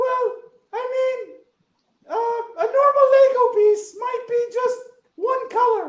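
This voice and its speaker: This cartoonish character voice has an extremely high pitch and a fairly slow pace. Long, frequent pauses break it up, and there is a slight echo. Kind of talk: puppet interview host.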